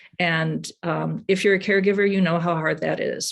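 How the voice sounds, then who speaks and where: A woman at a fairly quick pace. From US Midwest, Madison, Wisconsin. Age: 60s. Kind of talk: presentation talk. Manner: halting.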